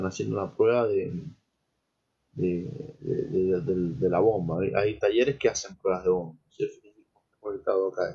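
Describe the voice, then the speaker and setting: With a somewhat breathy quality, a man talks, his pitch varying normally. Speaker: lecturer in petroleum engineering. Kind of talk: lecture.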